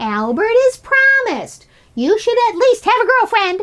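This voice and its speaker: In a squeaky put-on character voice, a woman speaks at an extremely high pitch and a moderate pace. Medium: read story. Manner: warm, teasing.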